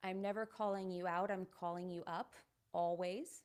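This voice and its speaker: A woman with an American accent has an unremarkable speaking voice and fairly even intonation. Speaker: podcast host. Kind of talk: solo podcast monologue.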